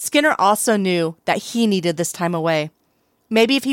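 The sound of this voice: Over a quiet background comes an unforced reading voice with lively intonation.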